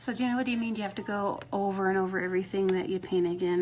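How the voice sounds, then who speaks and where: A woman's dark, mellow tone at a fairly quick pace. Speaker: rock painting instructor. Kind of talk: live painting tutorial. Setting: live stream. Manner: mumbling, quieter than usual; casual, chatty.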